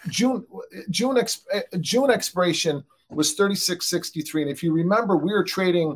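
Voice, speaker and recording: Over a silent background on a very clean recording, a man talks at a fairly quick pace. His pitch moves with ordinary variation. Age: 50s. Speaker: futures trader, ex-pit trader. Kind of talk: casual discussion.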